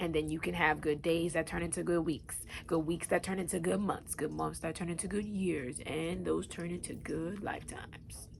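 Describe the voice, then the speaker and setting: The speaker is a woman with an American accent. She talks at a fairly quick pace. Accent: New York accent (she is unsure). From Long Island, New York. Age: 20s. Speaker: YouTube talk show host. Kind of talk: casual vlog monologue.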